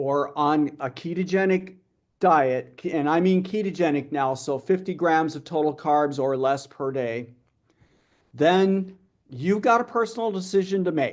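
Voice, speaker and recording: A man's unremarkable speaking voice, fairly high in pitch, at a fairly slow pace with ordinary pitch variation. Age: 60s. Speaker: metabolic health researcher. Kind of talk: conference Q&A. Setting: live-streamed conference.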